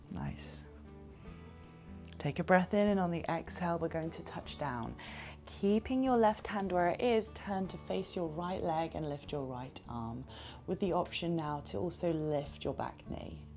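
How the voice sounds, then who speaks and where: Soft-spoken and calm, a woman talks at a fairly slow pace. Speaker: yoga teacher. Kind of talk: yoga class instruction. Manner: soft-spoken, calm.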